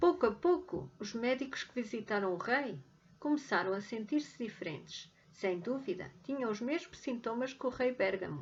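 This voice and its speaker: A woman at a moderate pace with a European Portuguese accent, a fairly high pitch and very wide pitch swings. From Portugal, Beira Interior region (Guarda). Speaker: language teacher. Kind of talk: read story for language learners.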